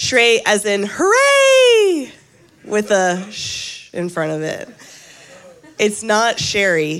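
In an American accent, the speaker goes at a very slow pace with long, frequent pauses amid noticeable background noise. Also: woman. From US South. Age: 30s. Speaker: guest preacher. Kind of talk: sermon. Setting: church.

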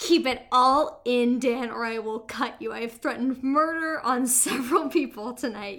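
Over a silent background in a very clean recording, a woman with a high pitch and ordinary pitch variation speaks at a fairly slow pace with hardly any pauses. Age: 20s. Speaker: podcast co-host, writer. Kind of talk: casual chat.

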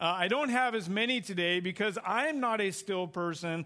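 Loud and high-pitched, a man's voice fills the clip. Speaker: guest preacher, youth pastor. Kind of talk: sermon. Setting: church. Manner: fast, hyper.

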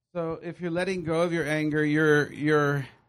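A man with a plain, everyday voice and fairly high pitch shows ordinary pitch variation against a quiet background. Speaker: Bible teacher. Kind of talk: teaching session with prayer.

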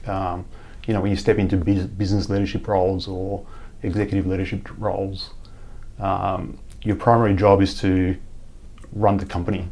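Here a man's fairly low voice has a dark, mellow tone. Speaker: chief engineer at tech company. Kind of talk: casual interview chat.

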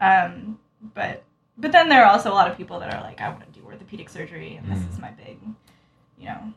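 A woman with an American accent at a very fast pace, broken by long, frequent pauses. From US, Utah. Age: 20s. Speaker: medical student. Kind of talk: casual chat. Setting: apartment.

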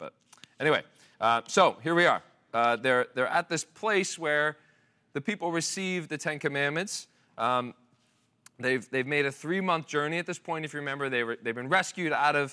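A man's fairly high voice, bright and sharp, with very wide pitch swings at a moderate pace, on a very clean recording with a silent background. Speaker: pastor. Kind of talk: sermon. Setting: church with congregation. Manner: halting, hesitant, conversational.

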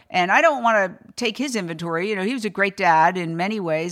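Over a silent background on a very clean recording, a woman talks very fast at a medium pitch with an American accent. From New York City. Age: 60s. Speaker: former news anchor and animal rights activist. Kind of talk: casual chat. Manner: halting.

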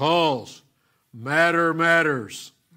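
A booming, put-on character voice from a man, fairly high in pitch, on a very clean recording with a silent background. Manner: emphatic, declarative.

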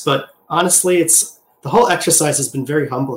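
A man's somewhat breathy voice with an American accent, a moderate pace and ordinary pitch variation. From US Midwest, Wisconsin. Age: 40s. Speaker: concept artist and art teacher. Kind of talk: interview.

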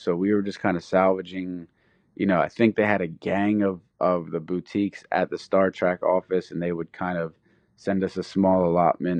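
With a Philadelphia accent, a man with a very deep, low pitch speaks at a moderate pace with fairly even intonation. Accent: Philadelphia American. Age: 30s. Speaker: skateboarder and clothing designer. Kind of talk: interview. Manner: halting, many fillers.

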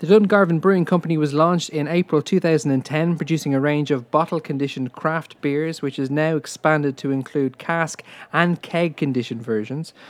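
A man in an ordinary speaking voice talks at a moderate pace with hardly any pauses, using a fairly high pitch and fairly even intonation. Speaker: podcast host. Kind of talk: podcast presenting, ad reading.

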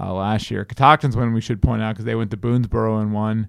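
A man with an American accent speaks in a fairly low pitch. He has a plain, everyday voice. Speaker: sports podcast host. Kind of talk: casual interview. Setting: studio.

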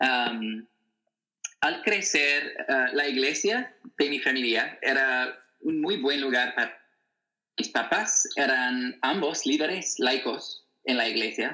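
Very slowly, a man speaks in an American accent. His loudness stays very even. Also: medium pitch for a man, ordinary pitch variation. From US Midwest, Wichita, Kansas. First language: English (speaking Spanish). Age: 20s. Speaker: author and activist. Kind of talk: interview. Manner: halting, many fillers.

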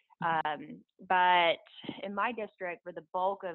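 In an American accent, the speaker talks fairly slowly, with ordinary pitch variation. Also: woman. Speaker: elected local official. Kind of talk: interview.

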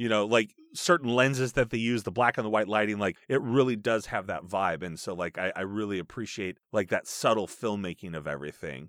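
A man speaks at a fairly quick pace with hardly any pauses, his fairly low voice a plain, everyday voice with ordinary pitch variation, recorded with a dry, close sound and no echo. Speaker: podcast guest, voiceover actor. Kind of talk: casual chat. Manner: rambling, filler words.

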